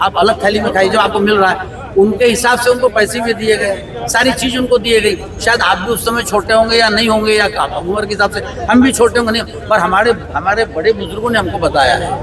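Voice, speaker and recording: Crowd noise fills the background as a man speaks at a moderate pace. His pitch is high and his intonation fairly even. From Maharashtra, Vidarbha (Wardha district). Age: 60s. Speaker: retired medical representative, interviewee at protest. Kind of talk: street interview. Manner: halting, with fillers.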